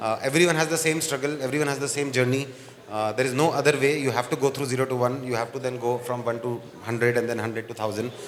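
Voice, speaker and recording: Amid noticeable background noise and audible room echo, a man speaks very fast with fairly even intonation. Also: medium pitch for a man. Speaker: event host, chief evangelist. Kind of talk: fireside chat with live audience. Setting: stage with live audience.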